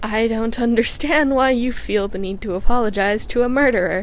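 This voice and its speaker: A woman uses a put-on character voice, raspy and fairly high-pitched, at a moderate pace. Clear background noise runs underneath. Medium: read story. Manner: stiff, oddly shaped phrasing.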